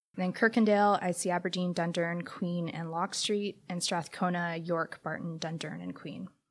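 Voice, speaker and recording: A woman with a Canadian accent speaks at a fairly low pitch and a moderate pace, in a flat monotone with hardly any pauses. The recording is very clean, with a silent background. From Canada, Hamilton, Ontario. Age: 30s. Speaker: city council candidate. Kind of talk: interview answers. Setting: library makerspace room.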